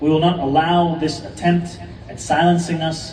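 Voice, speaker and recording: A man's monotone, flat delivery moves at a moderate pace amid noticeable background noise. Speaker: politician, mayoral candidate. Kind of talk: public speech at a mosque Friday prayer gathering.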